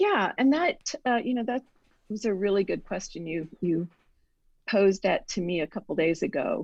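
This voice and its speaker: An ordinary speaking voice from a woman at medium pitch, with lively intonation and a moderate pace. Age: 60s. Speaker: writer and author. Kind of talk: casual interview.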